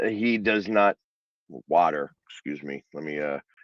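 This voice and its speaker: At a moderate pace, a man with a Philadelphia accent speaks in a dry, close sound with no echo. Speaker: sports commentator. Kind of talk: casual, conversational analysis.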